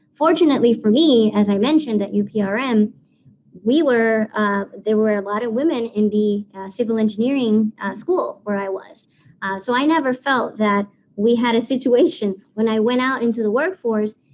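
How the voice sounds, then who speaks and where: Speaking with a Spanish accent, a woman with a fairly high pitch and ordinary pitch variation keeps a moderate pace. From Puerto Rico. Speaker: civil engineer. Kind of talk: presentation.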